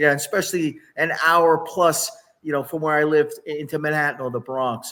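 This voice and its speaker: A man speaks at a moderate pace in an unremarkable speaking voice, fairly high-pitched for a man, with fairly even intonation. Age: 60s. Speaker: doctor and health author. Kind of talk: interview.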